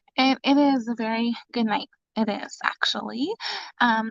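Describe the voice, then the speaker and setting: A woman whispers quietly. She has an American accent. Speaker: mother livestreaming to viewers. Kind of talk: casual live stream chat. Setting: live stream from home closet. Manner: whispering, very quiet.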